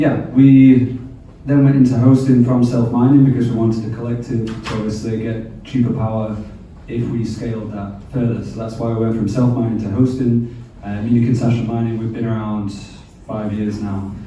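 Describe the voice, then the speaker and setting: A man talks at a fairly quick pace and medium pitch with a monotone, flat intonation. Audible room echo and noticeable background noise surround his voice. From England. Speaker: bitcoin mining company representative. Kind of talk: panel talk at a meetup.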